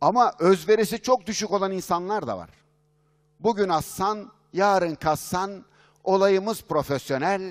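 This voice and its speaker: In a quiet background, a man talks in an animated tone at a fairly slow pace, his high pitch showing ordinary variation and his loudness swinging widely. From Turkey. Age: 50s. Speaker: business consultant and speaker; speaker. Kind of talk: conference keynote talk. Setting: stage with audience. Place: hall. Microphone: headset.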